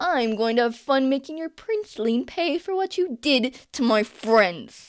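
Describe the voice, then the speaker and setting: Growling in a put-on character voice, the speaker keeps a moderate pace. The pitch swings very widely. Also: woman, high pitch for a woman. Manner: snarling, menacing.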